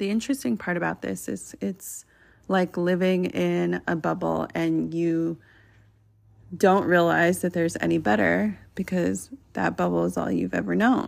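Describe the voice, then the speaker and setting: Fairly slowly, a woman speaks on a very clean recording with a silent background. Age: 30s. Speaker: podcast host and women's coach. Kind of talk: solo motivational monologue.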